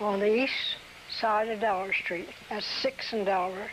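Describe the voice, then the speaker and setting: A woman with fairly high pitch talks at a fairly slow pace. Her intonation stays fairly even, and there is noticeable background noise. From Delaware, US. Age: 80s+. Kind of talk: oral history interview answer.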